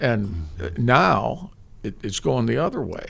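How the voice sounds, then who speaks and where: Vocal fry runs through this man's speech, delivered with a Midwestern American accent. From US Midwest, East Lansing, Michigan. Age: 70s. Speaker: sports broadcaster. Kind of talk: interview. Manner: halting.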